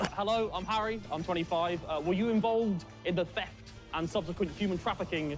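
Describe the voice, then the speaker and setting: A man with a British accent speaks at a moderate pace and a high pitch. Music plays in the background. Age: 20s. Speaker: contestant delivering pickup lines.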